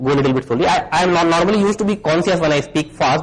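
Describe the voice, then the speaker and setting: Noticeable background noise sits behind a man with an Indian accent. He speaks at a very fast pace with ordinary pitch variation. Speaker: security researcher. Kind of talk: conference talk. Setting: stage with audience.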